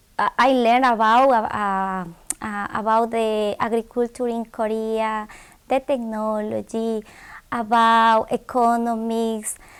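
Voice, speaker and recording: A woman with a Spanish accent and a fairly high pitch speaks very slowly in a monotone, flat intonation on a very clean recording with a silent background. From Ecuador, Quito. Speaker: graduate student. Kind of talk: interview. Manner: halting, many repetitions.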